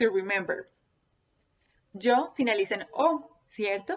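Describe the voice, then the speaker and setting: A woman talks with a Spanish accent. Her pitch is high. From Colombia. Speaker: Spanish teacher. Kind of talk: tutorial. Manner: slow and repetitive, code-switching.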